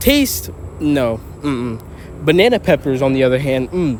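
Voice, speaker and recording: A man's voice over noticeable background noise. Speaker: YouTuber reacting to a video. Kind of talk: reaction commentary.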